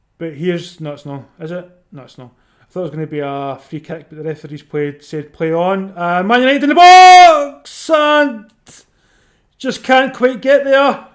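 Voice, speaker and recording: A man's high-pitched voice with very wide pitch swings and big swings in loudness, at a moderate pace, in a very clean recording with a silent background. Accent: Scottish. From Scotland. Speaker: football watchalong streamer. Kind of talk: casual live commentary and chat with viewers. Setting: live stream. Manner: conversational, chatty.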